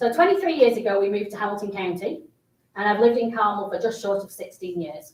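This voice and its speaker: A woman speaks with a British accent at a medium pitch. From England. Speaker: city council candidate. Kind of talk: campaign speech. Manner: animated.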